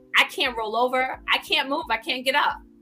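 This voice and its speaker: A woman with a New York accent sounds animated, her pitch fairly high with ordinary variation. Noticeable background noise runs behind her. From New York (the Bronx). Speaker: author and speaker. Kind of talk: casual interview.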